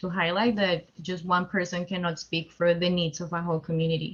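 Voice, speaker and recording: Somewhat breathy and fairly low-pitched, a woman speaks at a fairly quick pace. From Colombia. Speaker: community fellow. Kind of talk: webinar discussion.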